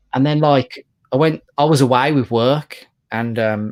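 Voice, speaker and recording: A man talks with a British accent. The recording is very clean with a silent background, and the sound is dry and close with no echo. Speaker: comic collector YouTuber. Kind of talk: casual chat. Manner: monotone.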